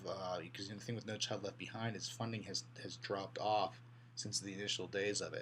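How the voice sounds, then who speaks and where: A man with a fairly low pitch and vocal fry talks in a room with audible echo. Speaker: college instructor. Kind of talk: lecture. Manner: fast; halting, many repeated words.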